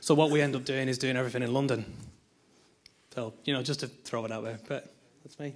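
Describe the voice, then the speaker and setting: In a Northern Irish accent, a man at medium pitch talks at a very fast pace in a flat monotone, with big swings in loudness and long, frequent pauses. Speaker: audience member, content provider. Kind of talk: audience comment.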